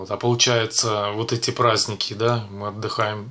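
A man speaks with a fairly low pitch. His tone is bright and sharp. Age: 40s. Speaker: vlogger, actor doing shoots; vlogger. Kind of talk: casual vlog monologue. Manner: casual, filler-heavy. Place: home room. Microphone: webcam.

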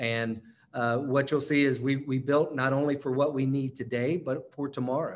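The voice has an American accent and a monotone, flat intonation at a moderate pace. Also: man, fairly high pitch for a man. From North Carolina, near Charlotte; North Carolina. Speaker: operations executive. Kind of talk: presentation. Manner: halting. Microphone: webcam.

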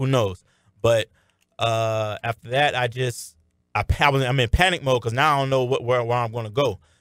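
A man with an American accent has an unremarkable speaking voice, medium in pitch with fairly even intonation at a fairly quick pace. The recording is very clean, with a silent background and a dry, close sound with no echo. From Miami, Florida. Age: 20s. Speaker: arena football wide receiver. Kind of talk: radio interview. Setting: radio studio.

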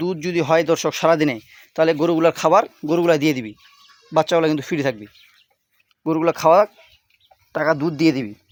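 A man speaks in a plain, everyday voice at a fairly high pitch. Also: ordinary pitch variation. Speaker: cattle trader and village vlogger. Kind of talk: sales pitch.

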